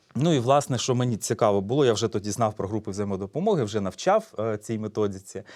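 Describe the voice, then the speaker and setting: At a fairly quick pace, a man with an ordinary speaking voice talks in a medium pitch with ordinary pitch variation on a very clean recording with a silent background. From eastern Ukraine, Donetsk region (Horlivka). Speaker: psychologist. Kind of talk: public talk. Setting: stage with audience.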